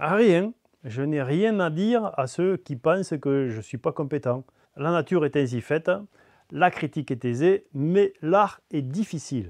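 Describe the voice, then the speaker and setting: Against a quiet background, a man with a southern French accent talks at a fairly slow pace and fairly high pitch with lively intonation, the sound dry and close with no echo. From south of France. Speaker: DIY hobbyist YouTuber. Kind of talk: mock interview answer.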